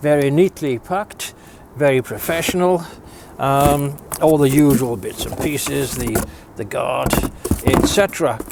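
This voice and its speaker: Noticeable background noise surrounds a man with a fairly high pitch and ordinary pitch variation. He talks at a fairly slow pace with long, frequent pauses. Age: 60s. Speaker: DIY video maker. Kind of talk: product review. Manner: hesitant, repeats words.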